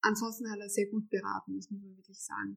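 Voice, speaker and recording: At a moderate pace, a woman speaks with a medium pitch, recorded with a dry, close sound with no echo. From Austria, Vienna. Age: 30s. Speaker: homeowner renovating an old house. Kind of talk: interview.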